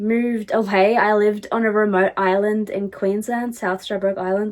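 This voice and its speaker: This woman speaks at a fairly slow pace with an Australian accent. Her pitch sits fairly high. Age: 20s. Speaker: podcast host. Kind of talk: casual chat. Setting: empty room.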